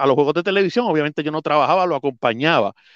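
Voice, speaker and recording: Against a quiet background, a man talks with lively intonation in a dry, close sound with no echo. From Puerto Rico, Adjuntas (mountain region). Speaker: volleyball commentator and play-by-play announcer. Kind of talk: casual interview chat.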